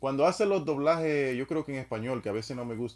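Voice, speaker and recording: Words come out very rapidly. The pitch rises and falls in a typical way. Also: man. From Dominican Republic. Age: 30s. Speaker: live streamer. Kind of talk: casual chat.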